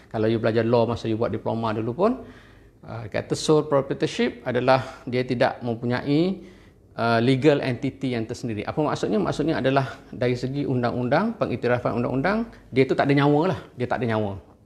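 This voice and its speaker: At a fairly quick pace, a man speaks in a medium pitch with ordinary pitch variation, an ordinary speaking voice. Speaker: university finance lecturer. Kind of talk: online lecture. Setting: live stream with camera and whiteboard.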